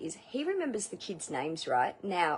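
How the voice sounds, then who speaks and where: This woman has an Australian accent. She speaks at a moderate pace. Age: 40s. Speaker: outdoor instructor and former masseuse. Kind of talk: casual vlog testimonial. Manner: chatty, filler-heavy.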